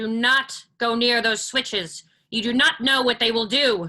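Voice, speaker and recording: A female-sounding voice speaks high in a put-on character voice. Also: moderate pace. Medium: stage play. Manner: formal, stiff diction.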